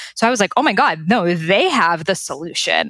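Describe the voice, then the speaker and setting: With an American accent, a woman talks at a fairly quick pace in a bright, sharp tone with lively intonation. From Boston, Massachusetts. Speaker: Ayurveda expert and author. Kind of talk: interview.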